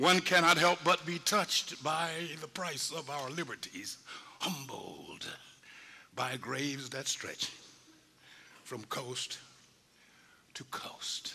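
Putting on a raspy character voice with a fairly high pitch, a man speaks at a fairly slow pace, with big swings in loudness and long, frequent pauses. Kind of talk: oratorical stage monologue. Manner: solemn, fervent, prayerful.

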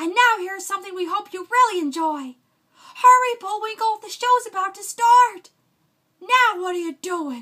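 In a raised, projected voice, a woman speaks at a moderate pace with a bright, sharp tone, lively intonation and big swings in loudness against a quiet background. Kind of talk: character voice impressions. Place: home room. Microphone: studio mic.

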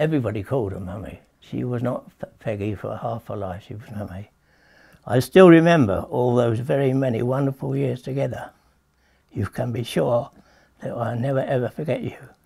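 A man speaks with lively intonation, vocal fry and a dark, mellow tone. The background is quiet. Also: moderate pace, big swings in loudness. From England. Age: 80s+. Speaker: author. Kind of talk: interview answer. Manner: hesitant, halting. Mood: tender, grieving, hesitant. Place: home room.

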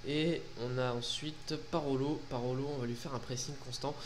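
The speaker is a man. Light background noise can be heard. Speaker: gaming YouTuber. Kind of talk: casual gameplay commentary. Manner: animated, informal. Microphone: headset.

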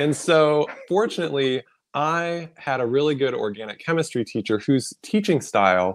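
Lively intonation marks this man's speech at a moderate pace. The background is quiet. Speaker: pediatrician and wellness coach. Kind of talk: interview. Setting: livestream video. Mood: friendly, animated. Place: home room. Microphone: video call.

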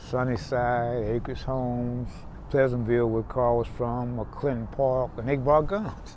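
Delivered at a moderate pace in a Texas accent, the speech sounds dry with no echo over light background noise. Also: man. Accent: Southern US, Texas. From Houston, Texas. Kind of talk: oral history interview answer. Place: street.

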